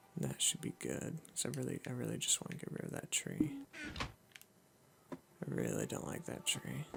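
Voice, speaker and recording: A man whispers quietly at a moderate pace. He leaves long, frequent pauses. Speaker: gaming youtuber. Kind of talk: let's play commentary. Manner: whispering quietly.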